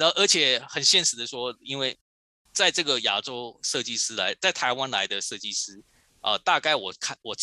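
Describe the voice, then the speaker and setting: A man's voice at medium pitch and moderate pace, on a very clean recording with a silent background. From Taiwan, Kaohsiung (southern Taiwan). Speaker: toy designer. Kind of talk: interview. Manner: halting, many fillers.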